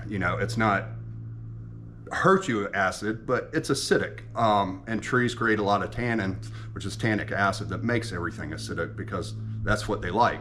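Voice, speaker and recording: A man talks at a moderate pace with an American accent. There is audible room echo. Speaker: home ethanol experimenter, video blogger. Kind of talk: casual vlog explanation. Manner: halting, many fillers and restarts.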